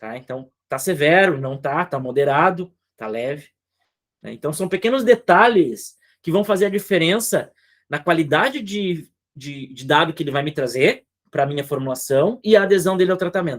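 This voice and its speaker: A man talks at a moderate pace in a fairly high pitch, with lively intonation and big swings in loudness. The recording is very clean, with a silent background. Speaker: psychologist. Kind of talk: clinical supervision session. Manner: animated.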